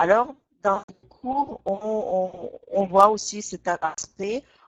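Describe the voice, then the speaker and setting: Normal pitch movement in a woman's mid-range voice. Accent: Russian. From Russia. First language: Russian (speaking French). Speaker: language teacher. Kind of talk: online webinar lesson. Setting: online webinar. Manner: hesitant, frequent filler 'euh'.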